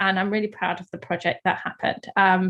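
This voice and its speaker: Here a woman speaks with a London accent. Her pace is moderate. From London, England. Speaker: artist. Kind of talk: panel presentation. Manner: hesitant, many fillers.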